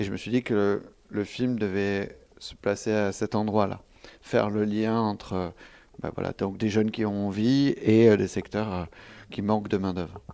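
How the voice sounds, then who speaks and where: A man's fairly low, monotone voice with flat intonation at a fairly slow pace, on a very clean recording with a silent background. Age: 30s. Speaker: film director. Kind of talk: interview. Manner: halting.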